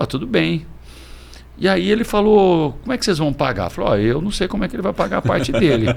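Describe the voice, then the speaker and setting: A man talks at a very fast pace with a fairly high pitch. His voice has vocal fry and very wide pitch swings. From Presidente Prudente, São Paulo state, Brazil. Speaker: restaurant and bar business owner. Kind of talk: casual interview.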